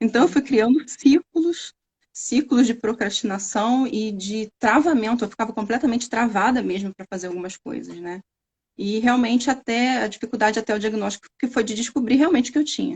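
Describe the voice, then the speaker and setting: In an interior Rio de Janeiro accent, a woman talks at a fairly quick pace with big swings in loudness. The sound is dry and close, with no echo. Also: fairly high pitch for a woman, ordinary pitch variation. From Brazil, interior of Rio de Janeiro state. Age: 30s. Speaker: scientist. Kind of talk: interview testimony. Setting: live stream.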